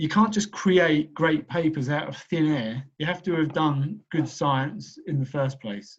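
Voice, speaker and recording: Somewhat breathy, a man speaks at a fairly high pitch and a fairly slow pace. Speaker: professor. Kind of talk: lecture.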